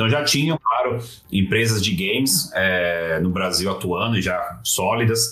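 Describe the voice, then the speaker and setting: A man talks fairly slowly with lively intonation and very even loudness. Room echo is audible, along with noticeable background noise. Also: fairly low pitch for a man. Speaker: games industry communications professional. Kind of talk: casual interview. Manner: hesitant, many filler sounds.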